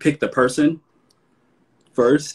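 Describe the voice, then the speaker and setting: A man with an American accent against a quiet background. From US South. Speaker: fashion host. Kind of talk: casual chat. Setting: video call. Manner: animated. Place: home room. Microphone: video call.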